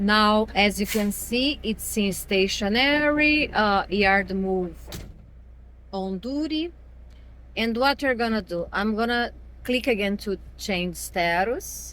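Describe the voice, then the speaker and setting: This woman speaks with a Brazilian accent at a medium pitch. Her pace is very slow, and her pitch varies in an ordinary way. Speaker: truck driver. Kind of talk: app tutorial walkthrough.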